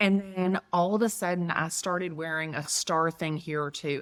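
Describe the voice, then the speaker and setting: With a strong Southern US accent, a woman talks at a moderate pace in a fairly low pitch. Her tone is bright, sharp and animated, and the recording is very clean with a silent background. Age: 50s. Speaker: real estate agent. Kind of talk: interview conversation.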